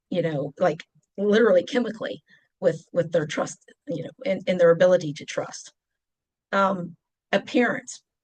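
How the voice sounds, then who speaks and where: Lively intonation and long, frequent pauses from a woman with a strong West Virginia accent. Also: medium pitch for a woman, moderate pace. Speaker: deacon and presenter. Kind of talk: presentation. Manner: animated.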